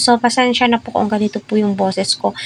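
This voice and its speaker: A woman talks in a fairly high pitch with fairly even intonation. Noticeable background noise can be heard. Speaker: showbiz commentary vlogger. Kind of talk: casual commentary monologue.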